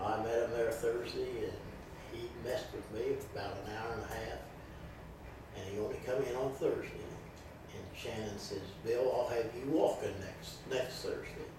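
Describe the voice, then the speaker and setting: A man's speech comes at a moderate tempo, broken by long, frequent pauses, with audible room echo and noticeable noise behind him. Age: 70s. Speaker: amputee patient. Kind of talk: interview testimony.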